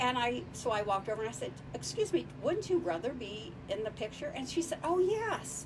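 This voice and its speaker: A woman talks at a fairly quick pace with hardly any pauses, with noticeable background noise around her. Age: 70s. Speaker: podcast guest, founder of women's travel group. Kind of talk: casual interview chat. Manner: halting, many repeated words.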